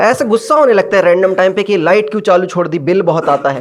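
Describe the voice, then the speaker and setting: This man has a high pitch. His intonation is lively. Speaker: stand-up comedian. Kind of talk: stand-up comedy set. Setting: live comedy club.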